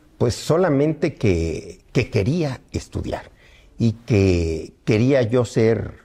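A man speaks at a medium pitch, very slowly, with a somewhat breathy, dark and mellow tone. His pitch swings very widely while his loudness stays very even. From Mexico, Morelos; Mexico. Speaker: veteran politician; interviewee. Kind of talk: interview. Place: home room.

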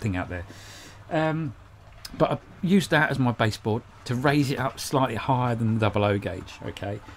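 The intonation is lively, with light background noise. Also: man. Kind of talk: casual vlog chat. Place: workshop. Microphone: studio mic.

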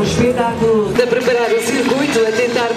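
Loud music plays in the background. A man is speaking. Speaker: event announcer. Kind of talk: commentary. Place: street. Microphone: pa.

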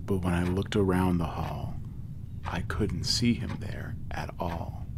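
A man speaks with a very deep, low pitch at a fairly slow pace. Noticeable background noise runs underneath. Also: ordinary pitch variation. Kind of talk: poetry reading.

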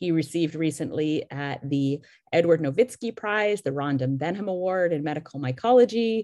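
A woman at a moderate pace, dry sound with no echo, quiet background. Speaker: scientist. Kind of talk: formal introduction. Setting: video call. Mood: warm, admiring. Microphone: video call.

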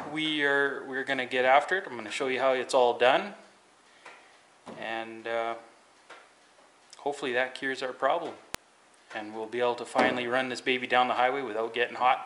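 Light background noise sits behind a man speaking at a fairly quick pace with fairly even intonation. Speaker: home mechanic vlogger. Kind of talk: casual vlog chat. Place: garage. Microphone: phone near.

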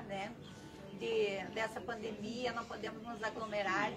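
Over clear music in the background, a woman speaks at a fairly slow pace with ordinary pitch variation. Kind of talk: inauguration speech. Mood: grateful, emotional. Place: street. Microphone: camera far.

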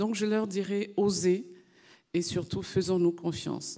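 Against a quiet background, a woman with a dark, mellow tone talks at a fairly slow pace. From Côte d'Ivoire. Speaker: senator. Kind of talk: panel discussion. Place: hall. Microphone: handheld.

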